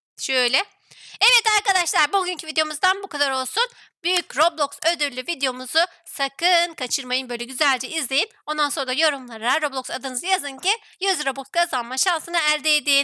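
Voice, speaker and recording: A woman's raised, projected voice, high in pitch with a bright, sharp tone, moves at a moderate pace with lively intonation on a very clean recording with a silent background and a dry, close sound with no echo. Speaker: gaming YouTuber. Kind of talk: casual let's-play chat; channel intro and outro. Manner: animated, laughing.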